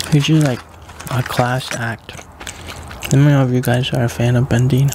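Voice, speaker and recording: A man whispers, soft-spoken, at a moderate pace. The sound is dry with no echo, though noticeable background noise is present. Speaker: ASMR mukbang creator. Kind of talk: casual talk to camera. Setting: home recording with a staticky microphone. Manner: soft-spoken, whispered. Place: home room. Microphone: studio mic.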